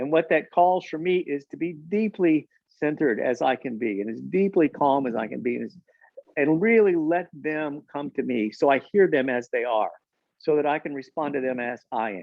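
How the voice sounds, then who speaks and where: A man with a plain, everyday voice talks at a fairly high pitch with ordinary pitch variation. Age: 60s. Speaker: parenting expert. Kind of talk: conversational discussion.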